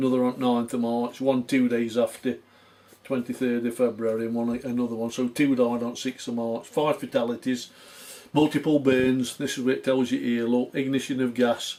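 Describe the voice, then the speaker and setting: A man talks at a moderate pace in a medium pitch. His tone is dark and mellow, and his intonation is flat and monotone. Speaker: mining historian. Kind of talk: casual explanatory talk showing archive documents.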